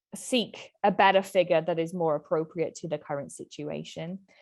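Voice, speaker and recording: A woman with a British accent talks at a fairly quick pace with ordinary pitch variation. The background is quiet. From UK. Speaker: accountant, small business owner. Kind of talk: webinar presentation.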